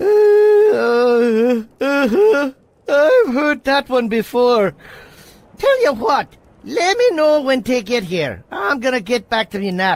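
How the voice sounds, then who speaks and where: A cartoonish character voice, fairly high in pitch, at a fairly slow pace. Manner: sardonic, casual.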